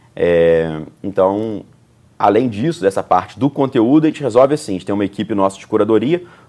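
Lively intonation marks this man's unremarkable speaking voice, pitched fairly low and moving at a fairly quick pace. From Juiz de Fora, Minas Gerais, Brazil. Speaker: entrepreneur. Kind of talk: interview conversation. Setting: bookstore recording set.

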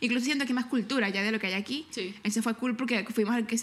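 Noticeable background noise sits under a woman speaking at a very fast pace with a fairly high pitch and fairly even intonation. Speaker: podcast co-host. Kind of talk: casual chat. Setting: living room at home.

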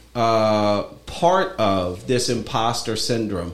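In a space with audible room echo, a man speaks with ordinary pitch variation. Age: 50s. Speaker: podcast host and lawyer. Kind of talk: casual interview chat.

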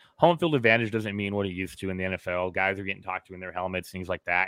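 Recorded dry and close with no echo against a silent background in a very clean recording, a man with an American accent speaks at a fairly low pitch in a bright, sharp tone with ordinary pitch variation. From Southern California. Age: 30s. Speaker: football fan. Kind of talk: casual chat.

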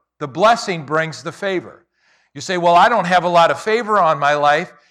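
With a bright, sharp tone, a man speaks at a high pitch and with lively intonation. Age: 60s. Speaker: pastor. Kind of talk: sermon. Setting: church.

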